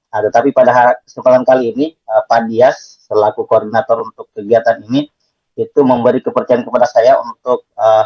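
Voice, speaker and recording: A man speaks with an eastern Indonesian accent at a fairly quick pace. The sound is dry and close, with no echo. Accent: eastern Indonesian accent, somewhat. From Southeast Sulawesi, Indonesia. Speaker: math teacher. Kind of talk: online lecture. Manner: hesitant, many fillers.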